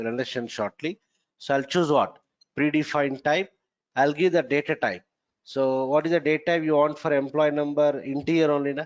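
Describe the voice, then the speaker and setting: A man has a normal speaking voice, fairly high in pitch. He talks at a fairly quick pace with fairly even intonation. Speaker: software trainer. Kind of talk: lecture.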